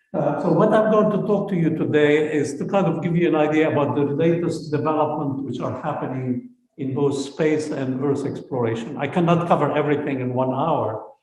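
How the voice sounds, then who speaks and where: With audible room echo, a man talks at a fairly quick pace and fairly high pitch, with ordinary pitch variation and hardly any pauses. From Lebanon. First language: Arabic. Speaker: space scientist. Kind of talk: lecture.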